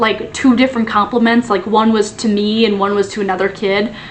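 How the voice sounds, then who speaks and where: Noticeable background noise accompanies speech that moves at a moderate pace. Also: woman. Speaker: former teacher, video creator. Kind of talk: casual chat. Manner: casual, filler-heavy.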